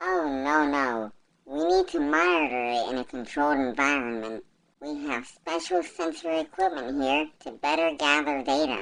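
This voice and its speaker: Low-to-middle in pitch, this is a put-on character voice. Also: moderate pace. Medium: fan dub. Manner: formal, stiff, clinical.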